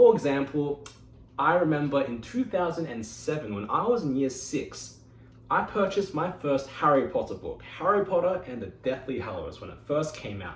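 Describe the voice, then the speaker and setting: Over noticeable background noise, a man with an Australian accent talks at a moderate pace in a fairly high pitch, with very wide pitch swings and big swings in loudness. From Australia (Sydney). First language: Mandarin Chinese. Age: 20s. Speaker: engineer giving a club speech. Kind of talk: prepared speech.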